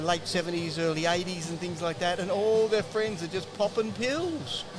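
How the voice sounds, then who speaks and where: Music plays in the background and room echo is audible as a high-pitched man with an Australian accent speaks with fairly even intonation. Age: 60s. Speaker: health researcher and author. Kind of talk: podcast interview.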